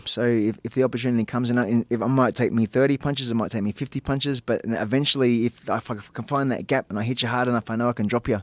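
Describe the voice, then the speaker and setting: A man with an Australian accent at a medium pitch, very fast and monotone with flat intonation, in a dry, close sound with no echo. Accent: thick Australian. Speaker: professional fighter. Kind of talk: casual chat. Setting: studio. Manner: halting.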